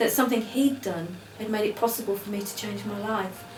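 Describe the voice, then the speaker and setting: A woman speaks fairly quickly with a British accent, her pitch fairly high and ordinarily varied. The recording has audible room echo and noticeable background noise. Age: 60s. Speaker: former addict, rehab graduate. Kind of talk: interview testimony.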